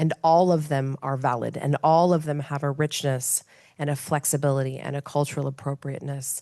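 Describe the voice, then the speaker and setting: A woman with an American accent, very deep and low in pitch, dark and mellow in tone, monotone and flat at a fairly quick pace. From United States. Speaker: panelist on humanitarian leadership. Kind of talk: panel discussion.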